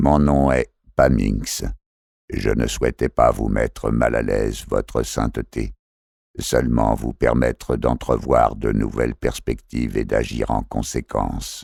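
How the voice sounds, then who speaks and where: Putting on a robotic character voice, a man speaks fairly slowly at a very deep, low pitch with monotone, flat intonation and a dry, close sound with no echo. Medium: read story. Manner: curt and cutting.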